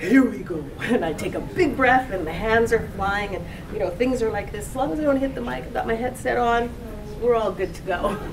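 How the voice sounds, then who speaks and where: A woman speaks at a fairly quick pace with lively intonation and a fairly high pitch. Audible room echo and noticeable background noise are present. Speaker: voice actress. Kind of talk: interview. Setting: convention. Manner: animated.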